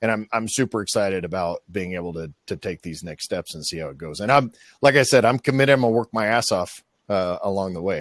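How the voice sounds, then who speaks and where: In a put-on character voice, the speaker talks at a very fast pace with a raspy sound, big swings in loudness, and a dry, close sound with no echo. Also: man, fairly low pitch for a man. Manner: excited.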